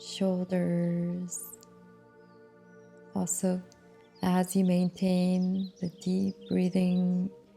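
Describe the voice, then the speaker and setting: A calm, very slow voice over background music. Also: woman. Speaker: meditation guide. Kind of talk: guided meditation. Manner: calm, slow, soft-spoken.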